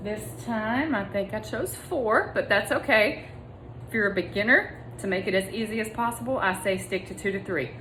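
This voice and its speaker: The speaker is a woman with an unremarkable speaking voice. Her pitch is medium. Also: lively intonation, moderate pace. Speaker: meal prep vlogger. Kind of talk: tutorial. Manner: casual, conversational.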